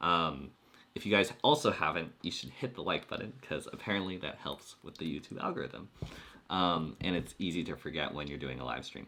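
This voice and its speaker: Speaking at a fairly quick pace, a man has a very deep, low pitch, a bright, sharp tone, vocal fry and ordinary pitch variation. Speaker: YouTube coach. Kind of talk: live stream chat. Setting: live stream. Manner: clear and fluent on this topic; uses many filler words.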